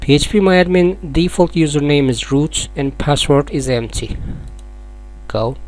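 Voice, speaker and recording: A man talks at a fairly slow pace with a non-native accent. Background noise is noticeable. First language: not English. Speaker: software tutorial maker. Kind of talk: tutorial.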